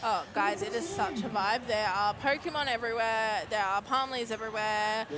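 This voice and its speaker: With an Australian accent, a woman speaks at a fairly high pitch and a moderate pace, with ordinary pitch variation, very even loudness and hardly any pauses, over noticeable background noise. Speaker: roller derby commentator. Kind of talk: live commentary. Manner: animated.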